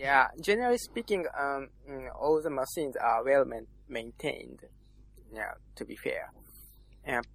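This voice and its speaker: Long, frequent pauses break up a man's speech in a Japanese accent, delivered at a moderate pace with big swings in loudness. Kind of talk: casual chat.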